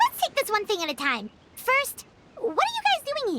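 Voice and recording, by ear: A cartoonish character voice, squeaky and extremely high in pitch. It moves at a moderate pace.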